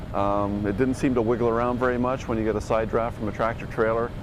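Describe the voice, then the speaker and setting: Over noticeable background noise, a man with a Canadian accent talks at a fairly quick pace and a medium pitch. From Canada. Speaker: motorcycle journalist. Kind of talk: casual interview.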